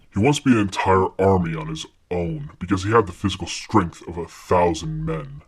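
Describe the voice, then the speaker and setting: This man's voice is put on as a character. He drops his pitch very deep and low. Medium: fan dub. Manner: condescending, knowing.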